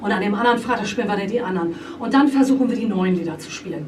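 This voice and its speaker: The speech comes at a very fast pace. Audible room echo and noticeable background noise are present. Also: woman. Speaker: rock band singer. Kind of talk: interview. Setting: band rehearsal room. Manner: many fillers (äh, ähm).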